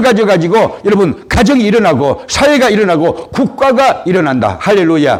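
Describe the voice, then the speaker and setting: In an animated tone, a man talks at a moderate pace with very wide pitch swings, and room echo is audible. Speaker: pastor. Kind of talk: sermon. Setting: church service. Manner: animated, exclamatory preaching.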